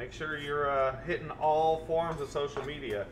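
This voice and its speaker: There is clear background noise throughout. Over it, a man talks at a medium speed. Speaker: cook hosting a live stream. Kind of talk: cooking show commentary. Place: kitchen.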